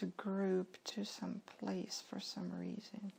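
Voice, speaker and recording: This is a woman. She is whispering. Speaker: hypnosis session client. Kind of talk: hypnosis session answers. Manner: whispered.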